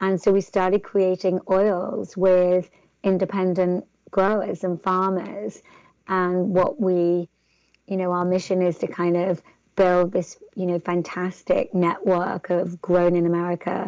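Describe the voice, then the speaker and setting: A woman with an English accent talks at a fairly slow pace. Her intonation is flat and monotone, and the background is quiet. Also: medium pitch for a woman. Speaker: entrepreneur. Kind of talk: interview. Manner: hesitant, many fillers.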